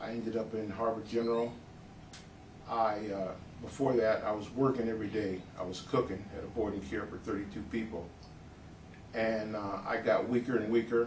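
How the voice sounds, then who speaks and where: Long, frequent pauses break up a moderately paced delivery with fairly even intonation, heard amid audible room echo and noticeable background noise. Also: man, medium pitch for a man. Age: 60s. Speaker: patient giving testimonial. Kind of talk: testimony. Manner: hesitant, many fillers.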